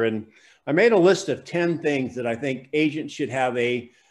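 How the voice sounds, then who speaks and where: A man's voice with ordinary pitch variation, moderate in pace. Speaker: real estate sales coach. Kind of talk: online class lecture. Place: studio. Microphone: studio mic.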